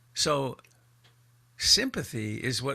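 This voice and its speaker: With a bright, sharp tone, a man at fairly high pitch uses lively intonation and vocal fry. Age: 70s. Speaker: meditation teacher. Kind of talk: dharma talk. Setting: video call.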